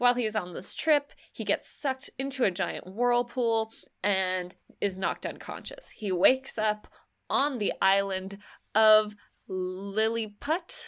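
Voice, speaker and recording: The recording is very clean, with a silent background. A woman with a fairly high pitch speaks in an animated tone at a fairly slow pace, with ordinary pitch variation. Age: 20s. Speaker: podcast co-host. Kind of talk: casual chat.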